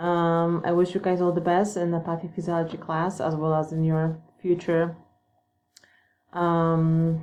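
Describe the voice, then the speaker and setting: A woman with a Polish accent speaks at a fairly slow pace, her fairly low pitch carrying a dark, mellow tone. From Poland. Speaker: nursing student. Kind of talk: self-introduction. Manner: hesitant, many fillers.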